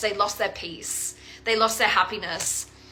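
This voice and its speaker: The tone is animated and the pace fairly quick. Music plays in the background. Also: woman. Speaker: tarot reader. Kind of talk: tarot reading to viewers. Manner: casual, animated; halting, repeats words.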